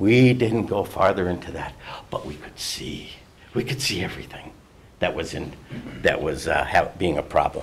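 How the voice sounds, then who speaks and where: Against noticeable background noise, a man with an American accent talks at a moderate pace with lively intonation. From Minnesota, Duluth area. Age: 70s. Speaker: retired resident giving public comment. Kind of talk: public comment at a county board meeting. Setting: county board meeting room. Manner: confrontational, sarcastic.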